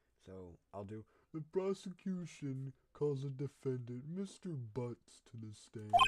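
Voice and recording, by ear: A put-on character voice at a low-to-middle pitch. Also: fairly slow pace.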